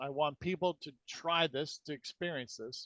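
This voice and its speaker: With an American accent, a man speaks in an ordinary speaking voice at a fairly high pitch and a moderate pace, his pitch varying in an ordinary way, recorded with a dry, close sound with no echo against a quiet background. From USA. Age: 60s. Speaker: alternative healing researcher. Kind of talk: interview.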